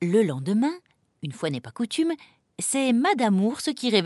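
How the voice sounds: This is a natural reading voice. The background stays quiet.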